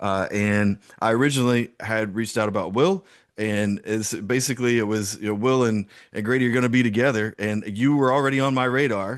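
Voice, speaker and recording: Here a man with a Southern US accent talks at a fairly quick pace and medium pitch. His intonation is fairly even, and the background is quiet. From US South (South Georgia). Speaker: podcast host. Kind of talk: interview.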